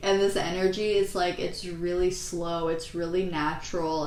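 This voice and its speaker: With audible room echo and noticeable background noise, a woman speaks at a very slow pace in a fairly low pitch. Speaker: tarot reader. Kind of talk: tarot reading. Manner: halting.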